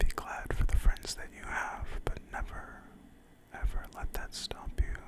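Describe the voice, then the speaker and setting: Very slow, calm whispering over noticeable background noise. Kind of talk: whispered ASMR talk to camera. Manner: whispered, soft-spoken, calm.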